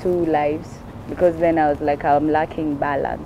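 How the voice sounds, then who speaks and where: A woman talks with a Kenyan accent. Her pitch is very deep and low, and her pace is moderate. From Kenya, Kibera. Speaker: stand-up comedian. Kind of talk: interview answer.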